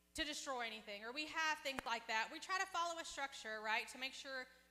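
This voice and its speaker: She speaks in a raised, projected voice. This woman's pitch is high. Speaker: pastor. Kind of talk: sermon. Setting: church service with congregation. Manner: loud; conversational, interactive with audience.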